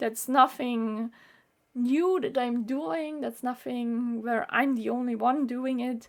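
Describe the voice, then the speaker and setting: A woman with a German accent speaks at a very slow pace. Her pitch is high, with ordinary pitch variation. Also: very clean recording, silent background. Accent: German-speaking accent in English, noticeable. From Austria. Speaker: YouTuber, medical student. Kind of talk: vlog monologue.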